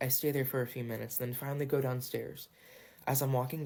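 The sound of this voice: Only an unforced reading voice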